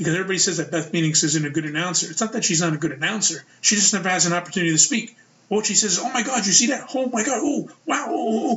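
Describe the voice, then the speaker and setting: With a New York accent, a man talks at a very fast pace and high pitch, with lively intonation, hardly any pauses and noticeable background noise. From US Northeast, Brooklyn, New York. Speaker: wrestling podcast host. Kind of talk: casual solo podcast commentary.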